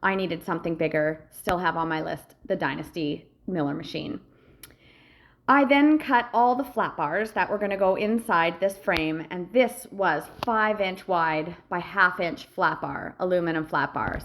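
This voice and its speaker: In a very clean recording with a silent background, a woman talks at a fairly slow pace in a medium pitch, her intonation lively. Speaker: welder and metal fabricator. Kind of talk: voice-over narration of a project video. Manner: casual, some hesitations and filler words.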